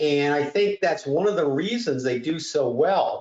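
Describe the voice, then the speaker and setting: At a fairly slow pace, a man talks in an ordinary speaking voice. His pitch sits fairly high, and his intonation is lively. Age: 60s. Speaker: trading educator. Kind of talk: webinar workshop. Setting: live webinar.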